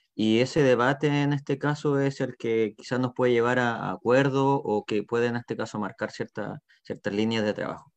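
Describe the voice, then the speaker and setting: A man's medium-pitched voice at a moderate pace, with fairly even intonation and hardly any pauses, dry and close with no echo over a quiet background. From southern Chile, Puerto Montt. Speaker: teacher and community activist. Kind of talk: panel discussion. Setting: video call. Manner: halting, repeats words.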